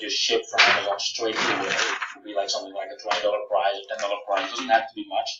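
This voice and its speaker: With a Dutch accent, a man talks over light background noise, and room echo can be heard. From Netherlands. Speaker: software founder; presenter. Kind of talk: Q&A webinar. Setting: live webinar. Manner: halting, many fillers. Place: home room. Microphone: webcam.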